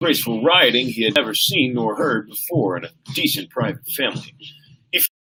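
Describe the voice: Reading aloud, plain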